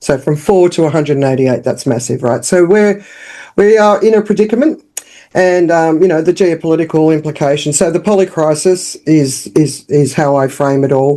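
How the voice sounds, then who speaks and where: A woman's very deep, low, dark and mellow voice in an Australian accent, at a moderate pace with ordinary pitch variation and very even loudness. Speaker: business founder and communications consultant. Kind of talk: podcast interview.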